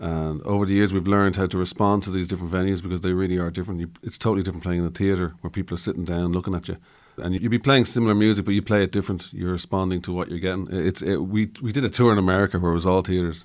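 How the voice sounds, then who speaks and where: Very deep and low in pitch, a man talks very fast with hardly any pauses in a very clean recording with a silent background. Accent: Irish. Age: 50s. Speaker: musician. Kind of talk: interview.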